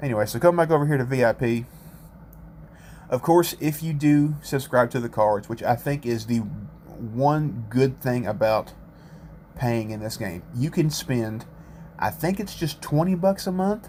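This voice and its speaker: A man talks at a fairly slow pace in a medium pitch, his tone dark and mellow. His voice is somewhat breathy, with lively intonation. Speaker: gaming YouTuber. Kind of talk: gameplay commentary. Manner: casual, self-correcting.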